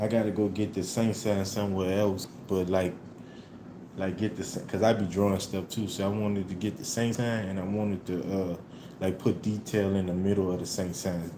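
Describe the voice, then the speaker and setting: A man with an American accent, fairly low pitch and monotone, flat intonation, with audible room echo. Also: moderate pace. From New Orleans, US South. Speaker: livestreamer. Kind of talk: casual live stream chat. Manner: laid-back, casual.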